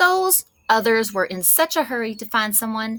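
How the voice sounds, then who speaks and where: Putting on a gruff, growling character voice, a woman with a fairly high pitch speaks at a moderate pace with very wide pitch swings and big swings in loudness. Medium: read story. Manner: growling, gruff.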